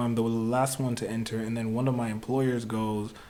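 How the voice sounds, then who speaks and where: A man speaks at a medium pitch, with audible echo in the room and noticeable noise in the background. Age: 20s. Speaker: musician. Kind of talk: casual chat. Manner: halting.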